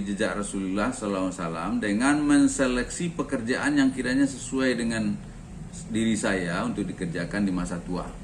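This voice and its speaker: In a room with audible echo, a man talks at a fairly quick pace, his medium pitch carried by lively intonation. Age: 60s. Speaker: retiree and organic fertilizer sales agent. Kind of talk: talk sharing personal experience. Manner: conversational with frequent fillers.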